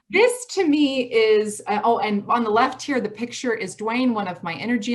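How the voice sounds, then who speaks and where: With an American accent, a woman speaks at a fairly high pitch. Her voice is somewhat breathy, with lively intonation. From US Midwest, Michigan. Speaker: college president. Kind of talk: presentation. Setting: video call. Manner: fast.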